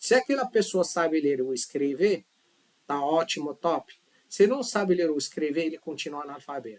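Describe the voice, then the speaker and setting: The man's pitch is fairly high and his intonation lively. He keeps a moderate pace. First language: not Portuguese (speaking Portuguese). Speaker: language teacher. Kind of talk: tutorial. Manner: casual, conversational.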